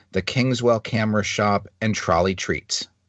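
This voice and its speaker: In a normal speaking voice, a man speaks at medium pitch and a moderate pace with fairly even intonation. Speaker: podcast co-host. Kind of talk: casual chat.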